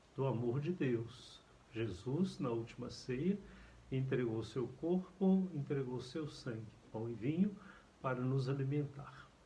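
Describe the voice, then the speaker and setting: A somewhat breathy man at a medium pitch, fairly slow in pace, with ordinary pitch variation. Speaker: priest. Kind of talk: catechesis lecture.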